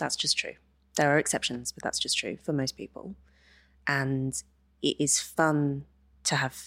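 A woman with an English accent speaks in a very deep, low pitch and fairly even intonation. The sound is dry and close, with no echo. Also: very clean recording, silent background. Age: 30s. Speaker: feminist author and columnist. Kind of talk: interview.

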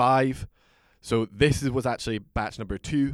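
A man with a Scottish accent in a very clean recording, the background silent. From Aberdeen, Scotland. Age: 20s. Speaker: whisky brand ambassador. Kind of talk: casual chat.

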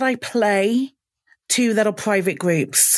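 The woman's pitch shows ordinary variation. She talks with a British accent. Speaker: podcast co-host. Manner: hesitant, many fillers.

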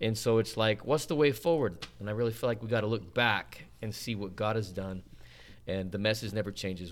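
A man's unremarkable speaking voice with an American accent, ordinary pitch variation and a fairly quick pace. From Utah, Salt Lake City. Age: 40s. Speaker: evangelist. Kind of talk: casual chat.

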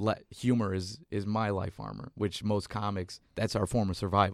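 Monotone and flat in intonation, a speaker with an American accent talks at a moderate pace on a very clean recording with a silent background. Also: man. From South Texas, McAllen border town. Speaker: comedian and writer. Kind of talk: casual chat.

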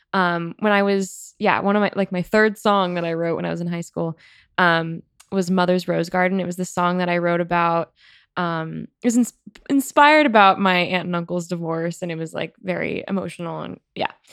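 At a moderate pace, a woman with a fairly low voice and fairly even intonation talks in an ordinary speaking voice. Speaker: songwriter and emerging artist. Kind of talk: casual interview chat. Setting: studio.

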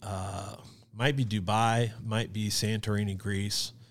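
A plain, everyday voice, a man with an American accent talks at a fairly slow pace and fairly low pitch on a very clean recording with a silent background. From Kansas City area, Missouri. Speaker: video production company founder. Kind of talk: casual interview chat.

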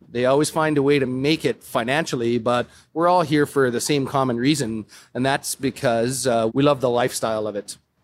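A man with a western Canadian accent at a medium pitch, fairly even intonation and a fairly quick pace, on a very clean recording with a silent background. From Calgary, Alberta, Canada. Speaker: brewer. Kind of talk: casual interview.

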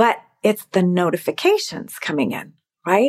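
An unremarkable speaking voice from a woman at medium pitch, moderate in pace, with a dry, close sound and no echo. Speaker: podcast host. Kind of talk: interview conversation.

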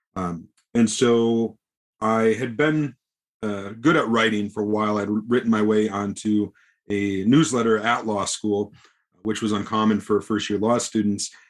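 On a very clean recording with a silent background, a man in an ordinary speaking voice talks at a fairly slow pace, fairly low in pitch with fairly even intonation. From US Midwest, small-town Wisconsin. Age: 30s. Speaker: poker journalist and player. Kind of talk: podcast interview.

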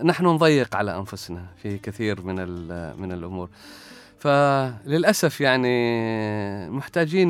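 The man's voice sits at a medium pitch, and his intonation is lively. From Oman, Salalah (Dhofar). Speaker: academic researcher. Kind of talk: interview. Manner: halting.

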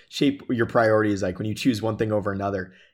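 This man has a Midwestern American accent, a fairly low pitch and fairly even intonation, speaking at a very fast pace. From Michigan. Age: 20s. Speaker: fashion brand co-founder. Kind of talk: casual interview. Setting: video call.

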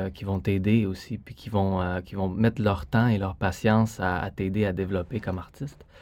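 A man at a moderate pace and fairly low pitch, dark and mellow in tone, with fairly even intonation, on a very clean recording with a silent background. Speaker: ballet dancer. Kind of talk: interview. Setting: studio.

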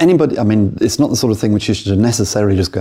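Somewhat breathy, a man with a British accent and a fairly low pitch uses lively intonation. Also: very clean recording, silent background. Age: old. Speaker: podcast host, property investor. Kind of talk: interview; scripted outro. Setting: studio.

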